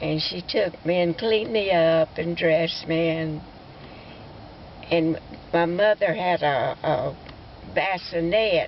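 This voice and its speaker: A woman speaks at a fairly slow pace with an Alabama accent, ordinary pitch variation and long, frequent pauses, over noticeable background noise. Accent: Southern US (Alabama). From US South, Alabama. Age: 90s. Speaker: elderly family storyteller. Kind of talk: oral history storytelling. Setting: outdoors at a cemetery, family visit. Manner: halting, with stammers and fillers.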